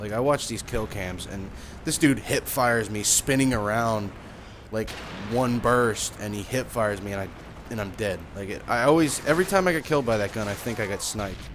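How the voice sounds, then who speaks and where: Amid noticeable background noise, a man mumbles at a fairly quick pace with a medium pitch and ordinary pitch variation. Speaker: gaming youtuber. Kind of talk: gameplay commentary. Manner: mumbling, rambling; casual, filler-heavy.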